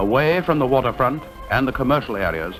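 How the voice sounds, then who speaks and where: Music plays in the background. A man speaks with very wide pitch swings. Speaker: narrator. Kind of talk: documentary travelogue narration.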